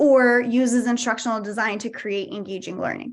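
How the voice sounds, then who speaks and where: Over a quiet background, a woman with a high pitch speaks with ordinary pitch variation. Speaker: career coach. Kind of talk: workshop presentation. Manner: fast.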